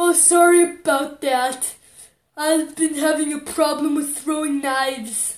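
A put-on character voice pitched high. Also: fairly slow pace. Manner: apologetic, casual.

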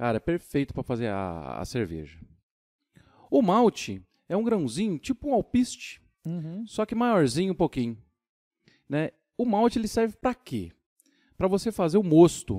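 A man's high voice with a dark, mellow tone and very wide pitch swings, at a moderate pace with long, frequent pauses, on a very clean, dry, close recording with no echo and a silent background. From São Paulo, Brazil. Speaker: craft brewer and musician. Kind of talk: casual chat.

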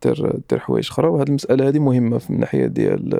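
A man is speaking. His pace is very fast. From Morocco. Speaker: former tax inspector turned entrepreneur. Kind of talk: casual interview conversation.

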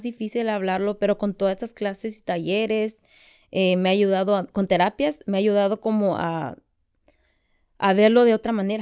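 Against a silent background on a very clean recording, a woman talks at a moderate speed. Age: 20s. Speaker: student of a naturopath. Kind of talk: personal testimony interview. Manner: halting.

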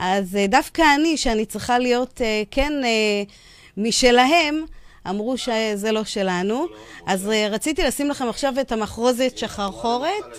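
The woman talks at a moderate pace with ordinary pitch variation. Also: fairly high pitch for a woman. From Israel, Yemenite family. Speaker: radio host. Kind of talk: radio show with phone interview. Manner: hesitant, many fillers.

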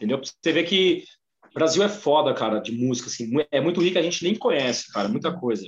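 Very fast, fairly high-pitched male speech with vocal fry and very wide swings in pitch. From Brazil, São Paulo ABC region. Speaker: music podcast guest. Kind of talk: casual chat.

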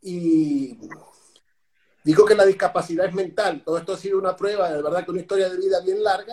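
A man with a Venezuelan accent speaks at a fairly quick pace in a high pitch, his intonation fairly even. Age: 40s. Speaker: speaker and personal trainer. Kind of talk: interview.

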